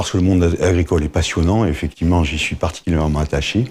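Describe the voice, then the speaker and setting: A man's very deep, low voice, somewhat breathy, with a dark, mellow tone. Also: very clean recording, silent background. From southern France, Montpellier. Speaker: agricultural insurance claims director. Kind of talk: interview. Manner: hesitant, many filler words.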